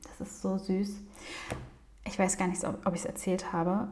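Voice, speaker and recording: Fairly slow female speech in a space with audible room echo. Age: 30s. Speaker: psychologist and podcast host. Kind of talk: casual monologue.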